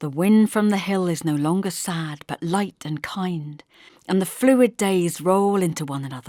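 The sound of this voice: Speaking at a fairly slow pace, a woman with a fairly low pitch and a dark, mellow tone uses lively intonation, recorded with a dry, close sound and no echo. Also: very clean recording, silent background.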